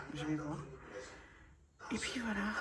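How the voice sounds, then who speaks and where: Over noticeable background noise and audible room echo, a woman speaks with a very deep, low pitch. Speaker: vlogger. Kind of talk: casual vlog. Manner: hesitant, many fillers.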